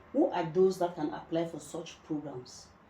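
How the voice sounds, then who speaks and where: A woman speaks at a fairly low pitch in a Cameroonian accent. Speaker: channel host, former asylum seeker. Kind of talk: interview.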